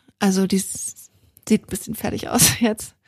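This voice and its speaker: A woman's monotone, flat voice, dry and close with no echo. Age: 30s. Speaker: equestrian podcast co-host, rider. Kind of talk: casual chat.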